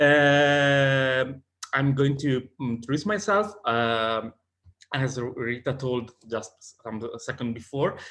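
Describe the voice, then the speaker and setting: A man speaks very slowly with an Italian accent. His pitch varies in an ordinary way. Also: medium pitch for a man. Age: 30s. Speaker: sociologist and advocacy organization president. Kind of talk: conference presentation.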